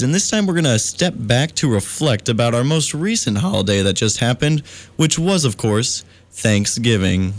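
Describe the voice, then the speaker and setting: A plain, everyday voice from a man, medium in pitch, fairly quick, with lively intonation. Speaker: college radio DJ. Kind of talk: late-night radio show host talk. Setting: radio studio. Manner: mock-formal, upbeat, comedic.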